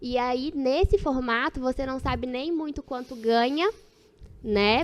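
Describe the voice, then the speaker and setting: At a fairly slow pace, a woman with a Minas Gerais accent speaks at a high pitch. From Minas Gerais, Brazil. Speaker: dentist and dental practice management expert. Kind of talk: podcast interview.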